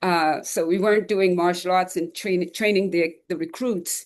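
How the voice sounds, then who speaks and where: In an ordinary speaking voice, a woman talks at a moderate pace and fairly low pitch, her intonation fairly even, with a quiet background. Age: 60s. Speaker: retired police officer, 9/11 first responder. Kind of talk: testimony.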